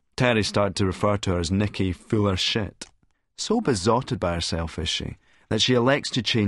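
Quiet background behind plain reading aloud, its pitch varying in an ordinary way

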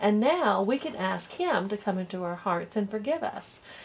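Lively pitch movement in an unforced reading voice

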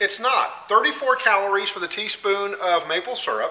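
A man speaks in a raised, projected voice. His pitch varies in an ordinary way. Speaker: home cooking show host. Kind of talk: cooking tutorial. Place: kitchen. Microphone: camera far.

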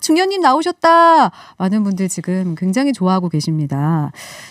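A woman sounds cheerful, her pitch swinging very widely at a moderate pace. The sound is dry with no echo, and the background is quiet. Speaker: radio host. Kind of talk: radio interview. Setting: studio. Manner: cheerful, laughs often. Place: studio. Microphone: studio mic.

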